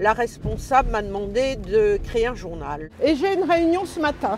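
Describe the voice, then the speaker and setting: At a fairly slow pace, a woman speaks in a high pitch over noticeable background noise. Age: 70s. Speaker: retiree. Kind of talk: testimony.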